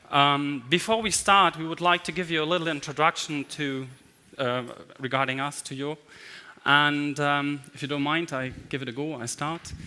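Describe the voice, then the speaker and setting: Here a man speaks with a German accent in a bright, sharp tone at a fairly high pitch. He keeps a moderate pace and fairly even intonation. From Germany. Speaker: management consultant. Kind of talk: conference talk.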